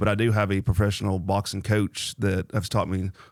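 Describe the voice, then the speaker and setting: Monotone, flat delivery with a Tennessee accent on a very clean recording against a silent background. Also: man. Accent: Tennessee Southern. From Nolensville, Tennessee. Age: 30s. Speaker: amateur boxer and Marine veteran. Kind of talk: casual interview chat.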